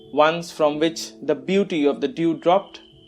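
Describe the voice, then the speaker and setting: Music plays in the background as a man with a fairly high voice talks at a very slow pace. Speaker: poet. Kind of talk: poetry reading.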